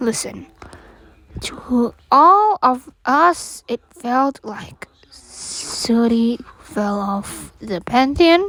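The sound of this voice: A woman's put-on character voice, fairly high-pitched and fairly bright in tone, with lively intonation at a very slow pace.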